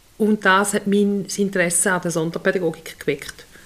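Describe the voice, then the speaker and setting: Intonation is monotone and flat. The woman talks at a moderate pace. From Switzerland, Lower Toggenburg. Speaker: special education teacher, podcast co-host. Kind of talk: casual chat.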